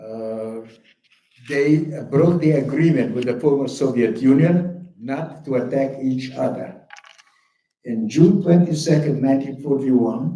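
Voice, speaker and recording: A man's dark, mellow voice with a German accent, at a fairly slow pace, with ordinary pitch variation and audible room echo. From Bukovina, Romania (Chernivtsi). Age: 80s+. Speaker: Holocaust survivor speaker. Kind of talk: testimony.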